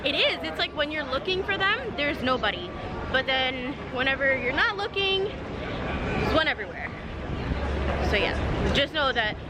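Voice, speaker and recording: A woman at a moderate pace with long, frequent pauses, dry sound with no echo, and crowd noise in the background. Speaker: vlogger. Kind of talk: casual vlog chat. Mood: upbeat, playful. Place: street. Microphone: phone near.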